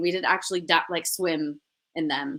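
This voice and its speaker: At a moderate pace, a speaker with a North American accent has a bright, sharp tone on a very clean recording with a silent background. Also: woman. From US West Coast, Los Angeles. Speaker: actress. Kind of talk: interview.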